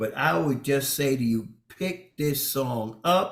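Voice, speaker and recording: Here is a man with an unremarkable speaking voice. His pitch is medium and his intonation is lively. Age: 60s. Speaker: bishop and radio co-host. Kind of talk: casual chat.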